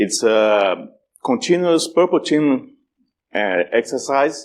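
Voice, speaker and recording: A man with a strong Brazilian accent at a very slow pace against a quiet background. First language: Portuguese. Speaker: security conference speaker. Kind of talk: conference talk. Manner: halting, many repetitions and fillers.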